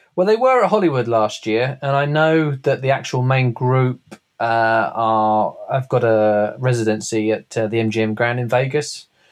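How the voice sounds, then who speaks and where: The speaker has a British accent with ordinary pitch variation. There are hardly any pauses. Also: man, medium pitch for a man, moderate pace. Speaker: co-host.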